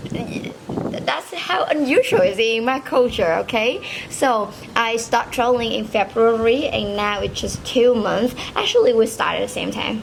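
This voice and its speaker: A fairly high-pitched woman speaks at a fairly slow pace with ordinary pitch variation. Noticeable background noise runs underneath. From Vietnam. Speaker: solo traveler. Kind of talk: casual chat.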